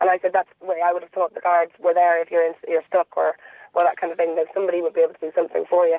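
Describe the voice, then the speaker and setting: This speaker has a Dublin accent. The pace is very fast. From Dublin, Ireland. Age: 30s. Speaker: caller. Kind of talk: phone-in chat.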